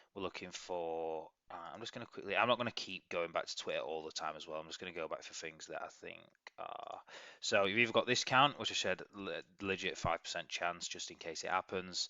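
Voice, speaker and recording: In an English accent, a man talks at a fairly quick pace. His loudness swings widely. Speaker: crypto trading analyst. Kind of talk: market analysis video. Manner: fast, rambling.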